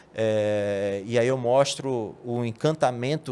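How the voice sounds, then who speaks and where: This is a man speaking at a medium pitch. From Brazil, Rondônia (Porto Velho). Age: 40s. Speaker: sales manager. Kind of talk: podcast interview. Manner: halting, many repetitions and fillers.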